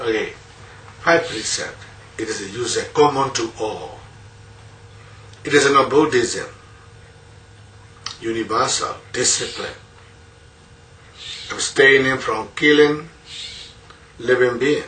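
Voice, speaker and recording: In audible room echo, a man with a Burmese accent talks at a very slow pace, with long, frequent pauses and big swings in loudness. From rural Myanmar. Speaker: Buddhist monk teacher. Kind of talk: dharma talk.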